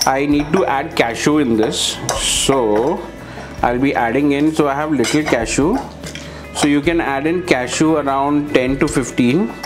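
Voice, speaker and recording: Over clear background music, a man speaks at a moderate pace with ordinary pitch variation. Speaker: home cook vlogger. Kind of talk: casual cooking tutorial. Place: kitchen. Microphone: lapel.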